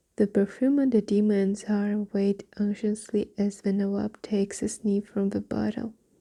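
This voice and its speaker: The pace of speech is fairly slow. The voice is soft-spoken. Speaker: ASMR storyteller. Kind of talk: bedtime story reading.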